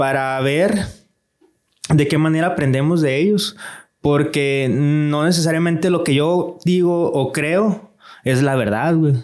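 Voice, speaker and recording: Very slow speech from a man, with long, frequent pauses, very even loudness and audible room echo. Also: fairly high pitch for a man, ordinary pitch variation. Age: 30s. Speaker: digital marketing entrepreneur. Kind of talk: casual chat. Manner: animated.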